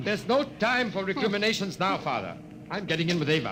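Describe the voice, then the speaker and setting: This man talks fairly quickly, his pitch swinging very widely, while noticeable background noise runs behind him. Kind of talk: 1950s radio drama dialogue, urgent. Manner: urgent, commanding.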